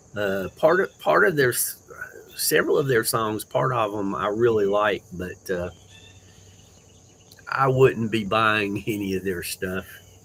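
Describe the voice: A man with a fairly low pitch, vocal fry, a fairly bright tone, lively intonation and a fairly slow pace.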